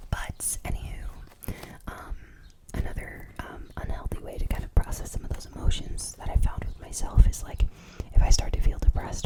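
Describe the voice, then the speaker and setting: Someone whispers at a fairly quick pace amid noticeable background noise. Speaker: ASMR creator. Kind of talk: ASMR whispered ramble. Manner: whispered.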